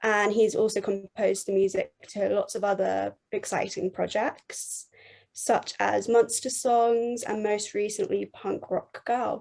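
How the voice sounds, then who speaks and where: A woman with a southern English accent at a fairly slow pace in a very clean recording with a silent background. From England. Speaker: podcast host. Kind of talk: podcast interview.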